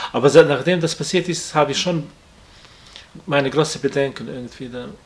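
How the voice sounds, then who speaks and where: A man with a non-native accent speaks at a fairly high pitch. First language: not German (speaking German). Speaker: friend of the victim, workshop colleague. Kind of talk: interview. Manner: halting.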